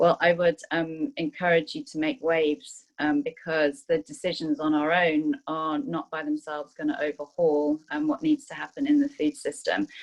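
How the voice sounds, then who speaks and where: A woman talks at a moderate pace with hardly any pauses. The sound is dry and close, without echo. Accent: British. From Zimbabwe. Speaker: food sustainability manager. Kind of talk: panel introduction. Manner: hesitant, many fillers.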